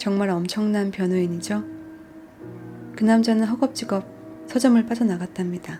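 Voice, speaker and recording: A woman's medium-pitched voice with music in the background. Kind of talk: audiobook reading. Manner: soft-spoken.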